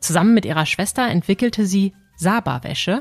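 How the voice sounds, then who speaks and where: Over music in the background, a woman's voice comes across with a dry, close sound and no echo. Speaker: podcast host. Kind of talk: podcast intro narration.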